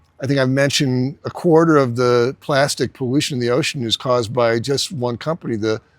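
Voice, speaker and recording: In a normal speaking voice, a man with an American accent talks at a moderate pace with a fairly high pitch and ordinary pitch variation, the sound dry and close with no echo on a very clean recording with a silent background. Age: 60s. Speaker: entrepreneur and business coach. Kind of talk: casual talk-to-camera lecture. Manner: conversational with many fillers and restarts.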